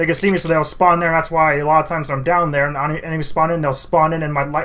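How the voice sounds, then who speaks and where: A man with a fairly high pitch, talking at a very fast pace amid audible room echo. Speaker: gaming YouTuber. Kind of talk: gameplay commentary.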